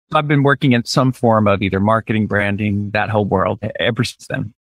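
This man speaks very fast at a medium pitch. His intonation stays fairly even. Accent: American. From US South, Birmingham, Alabama. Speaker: brand strategist and author. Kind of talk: interview.

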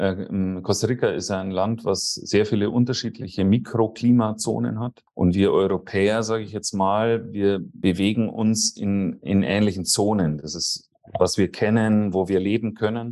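A man talks at a fairly slow pace. His pitch is fairly low and his tone is dark and mellow. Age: 40s. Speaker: real estate consultant. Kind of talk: interview.

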